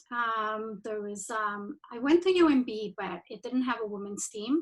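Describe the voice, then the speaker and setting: Fairly slow speech comes from a woman with a Spanish accent. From Mexico. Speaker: rugby administrator. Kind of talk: presentation. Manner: halting.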